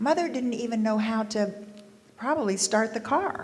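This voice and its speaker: A woman with an American accent speaks at a fairly slow pace and a fairly high pitch. Audible room echo and noticeable background noise are present. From US South. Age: 60s. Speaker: panelist sharing local history. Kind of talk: panel discussion recollections.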